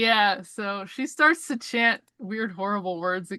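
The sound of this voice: An unforced reading voice carries ordinary pitch variation over a quiet background.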